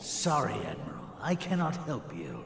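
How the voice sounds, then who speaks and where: A man's put-on character voice, fairly high in pitch, at a moderate pace, with slight echo and clear background noise. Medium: video game. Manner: haughty, grandiose.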